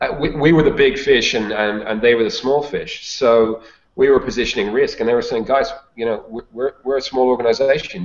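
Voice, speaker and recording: This man has a Dublin accent and a medium pitch. His pitch variation is ordinary. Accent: Irish (Dublin). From Ireland, Dublin. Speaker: sales consultant and author. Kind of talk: interview. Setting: video call.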